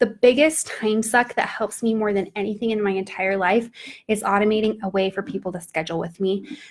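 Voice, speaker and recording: Fairly even intonation from a woman talking at a moderate pace. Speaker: entrepreneur and business coach. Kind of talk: live stream talk to an online group. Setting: live video stream. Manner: casual, with many fillers.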